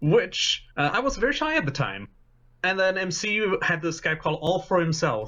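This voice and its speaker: This voice belongs to a man. His pitch swings are very wide. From Sweden. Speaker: charity marathon assistant director. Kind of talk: casual chat.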